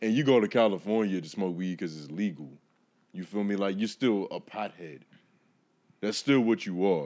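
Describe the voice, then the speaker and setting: Against a quiet background, a man with a fairly low pitch speaks at a moderate pace with ordinary pitch variation and long, frequent pauses. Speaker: guest podcaster. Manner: casual, slangy.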